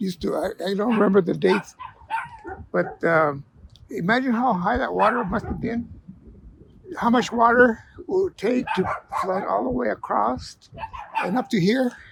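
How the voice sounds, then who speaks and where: With an American accent, a man with a high pitch talks at a moderate pace with lively intonation and long, frequent pauses, over noticeable background noise. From Douglas, Arizona, US-Mexico border. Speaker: longtime local resident. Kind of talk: oral history interview. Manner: halting, many fillers.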